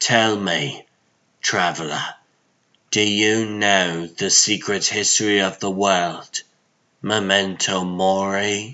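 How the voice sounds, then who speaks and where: Using a put-on character voice, a man with a fairly low pitch speaks at a very slow pace in a flat monotone, with long, frequent pauses. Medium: fan dub. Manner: formal, grave.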